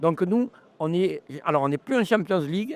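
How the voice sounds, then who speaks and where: Moving at a fairly quick pace, a man speaks in a high pitch with a dry, close sound and no echo. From France, Ardèche. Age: 70s. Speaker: festival organizer and campsite owner. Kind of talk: interview. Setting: live recording at a trade show. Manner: animated.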